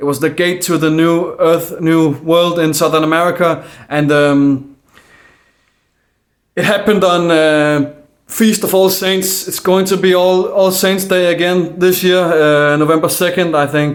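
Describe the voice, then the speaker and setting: In a room with audible echo, a man with a Danish accent speaks fairly slowly at a high pitch, his intonation fairly even. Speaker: conspiracy video maker. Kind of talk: casual monologue. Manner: halting.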